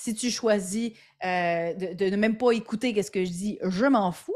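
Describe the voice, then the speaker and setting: On a very clean recording with a silent background, a woman speaks at a medium pitch. She keeps a moderate pace, with ordinary pitch variation. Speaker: entrepreneur and podcaster. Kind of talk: interview. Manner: animated; halting.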